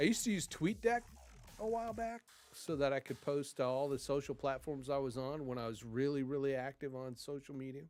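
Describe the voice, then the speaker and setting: Music plays behind a man speaking at a fairly quick pace with lively intonation. He leaves long, frequent pauses. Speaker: streamer. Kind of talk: casual live stream chat. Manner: loud; halting, many fillers.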